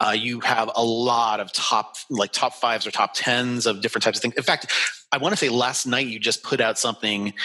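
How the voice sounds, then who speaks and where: Noticeable background noise sits behind a man with an American accent. He speaks fairly quickly at medium pitch, in a monotone, flat way. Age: 40s. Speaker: travel podcast host. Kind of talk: interview.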